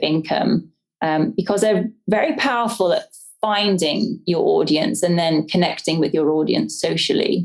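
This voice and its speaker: An English accent with ordinary pitch variation. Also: woman. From English countryside. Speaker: homesteader and business owner. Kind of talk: interview answer.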